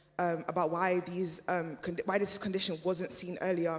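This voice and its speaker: Moderate pace against noticeable background noise. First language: German. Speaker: panel speaker at community event. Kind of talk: panel discussion. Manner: halting, many fillers.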